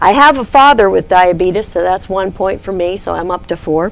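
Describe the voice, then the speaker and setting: Over noticeable background noise, a woman speaks at medium pitch with lively intonation. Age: 60s. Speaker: diabetes nurse educator. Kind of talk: lecture.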